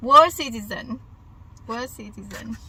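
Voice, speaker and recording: A woman with a Vietnamese accent speaks at a fairly slow pace, her fairly high pitch moving with ordinary variation. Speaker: vlogger. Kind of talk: casual vlog monologue. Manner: halting.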